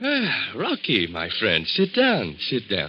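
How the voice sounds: In a put-on character voice, a man speaks slowly at a fairly low pitch with very wide pitch swings and a slightly husky edge.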